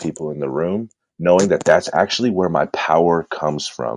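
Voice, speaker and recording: A man with a Californian accent speaks at a fairly quick pace in a very deep, low pitch with ordinary pitch variation. The sound is dry and close, with no echo. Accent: Californian American English. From Southern California (San Bernardino). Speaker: entrepreneur and purpose coach. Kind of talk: podcast interview.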